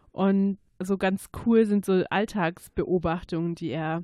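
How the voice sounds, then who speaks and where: Against a quiet background, a woman with a slight Swabian accent speaks at a very slow pace and medium pitch, her dark, mellow tone carrying fairly even intonation in a dry, close sound with no echo. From Swabia, Germany (Stuttgart–Ulm–Biberach area). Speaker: dialect speaker. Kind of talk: interview.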